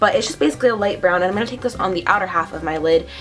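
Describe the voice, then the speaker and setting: A woman at a very fast pace with lively intonation, faint music in the background. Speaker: beauty vlogger. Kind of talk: makeup tutorial talk to camera. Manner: casual, chatty.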